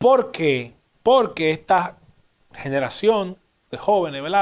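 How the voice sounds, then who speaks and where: At a fairly slow pace, a man speaks over a quiet background. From Dominican Republic. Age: 30s. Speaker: TV news commentary host. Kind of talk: TV commentary monologue. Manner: animated. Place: studio. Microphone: lapel.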